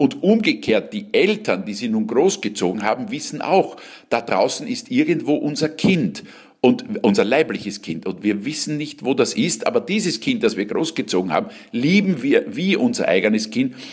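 A man talks at a fairly high pitch, his voice swinging very widely in pitch. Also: moderate pace. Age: 60s. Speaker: cabaret artist and actor. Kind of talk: interview.

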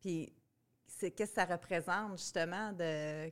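A woman with a Quebec accent speaks at a fairly slow pace. Her pitch is fairly low and her intonation fairly even. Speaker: podcast host, marketing agency head. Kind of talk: casual interview. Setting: conference.

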